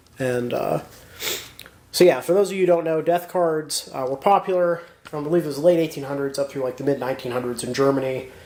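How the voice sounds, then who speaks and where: A man talks at a very fast pace, his pitch fairly high with ordinary variation. Noticeable background noise runs under him. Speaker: militaria collector. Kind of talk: casual talk to camera. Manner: hesitant, many fillers.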